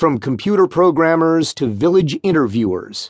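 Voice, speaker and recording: Recorded with a dry, close sound, no echo and a quiet background, a man with an unremarkable speaking voice talks at a moderate pace. His pitch is fairly high and his intonation lively. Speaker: audiobook narrator. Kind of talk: audiobook narration of nonfiction, read aloud. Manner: even, measured, formal; clear and steady, expository.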